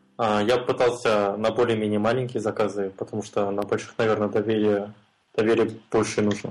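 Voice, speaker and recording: The man's voice sits fairly low in pitch. His intonation is monotone and flat, at a moderate pace. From Kazakhstan, Almaty. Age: 20s. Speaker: freelance mobile and web developer. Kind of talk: casual interview.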